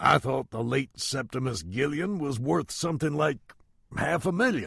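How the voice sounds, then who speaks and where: A raspy, put-on character voice from a man at medium pitch and moderate pace, with lively intonation. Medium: read story. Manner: dry, mocking.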